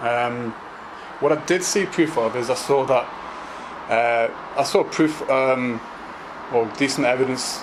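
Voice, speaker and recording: Over noticeable background noise, a man talks at a fairly slow pace and medium pitch, with ordinary pitch variation, very even loudness and long, frequent pauses. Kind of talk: casual talk to camera. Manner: stammering, hesitant.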